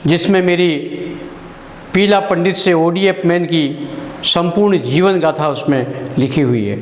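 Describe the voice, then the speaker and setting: A man with a high-pitched voice speaks against audible room echo and noticeable background noise. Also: ordinary pitch variation. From Chhattisgarh, India. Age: 60s. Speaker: social activist. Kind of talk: personal testimony address. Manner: formal.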